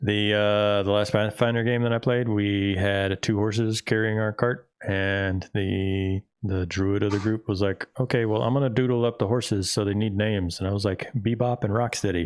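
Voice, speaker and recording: Mumbling in a monotone, flat way, a man with an American accent speaks at fairly low pitch. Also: very even loudness. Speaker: game master. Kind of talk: casual chat. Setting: live stream.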